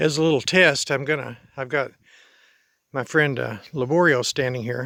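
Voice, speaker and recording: A man's bright, sharp voice, fairly high in pitch, with ordinary pitch variation at a moderate pace on a very clean recording with a silent background. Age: 70s. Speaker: farmer. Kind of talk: casual vlog. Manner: halting.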